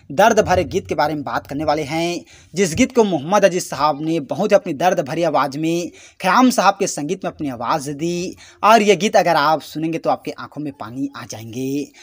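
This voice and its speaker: On a very clean recording with a silent background, a man with a high pitch speaks at a moderate pace, his loudness swinging widely. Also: lively intonation. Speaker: YouTube music channel host. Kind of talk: casual video narration.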